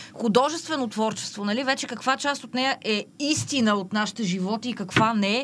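Over noticeable background noise, a woman talks at a fairly quick pace with hardly any pauses. Her pitch is fairly high. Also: ordinary pitch variation. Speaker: social media poet. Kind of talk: casual interview.

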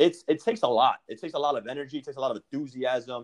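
A man with a New York accent talks at a very fast pace with lively intonation. His pitch is fairly high, and the sound is dry and close with no echo. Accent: New York American. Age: 30s. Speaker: podcast host. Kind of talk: casual interview. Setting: call.

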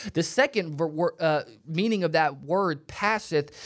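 Ordinary pitch variation in a very clean recording with a silent background. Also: man. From Alabama, US South. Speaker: preacher. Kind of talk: sermon. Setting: studio.

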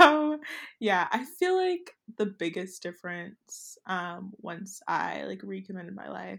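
A woman talks at a very slow pace in a very clean recording with a silent background. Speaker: podcast co-host. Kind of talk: casual chat.

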